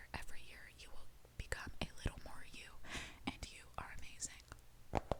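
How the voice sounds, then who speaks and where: Whispering in a gentle tone, the voice shows big swings in loudness. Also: woman, moderate pace. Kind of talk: casual soft-spoken talk to camera. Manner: soft-spoken, gentle.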